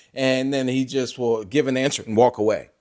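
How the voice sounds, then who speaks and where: Animated in tone, a man talks at a moderate pace in a very clean recording with a silent background. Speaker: sports commentator YouTuber. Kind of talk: casual vlog commentary.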